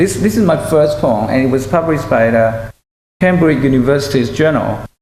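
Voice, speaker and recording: Speaking with a Chinese accent, a man uses lively intonation. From China. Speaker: poet and university teacher. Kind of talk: lecture with poetry reading. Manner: halting.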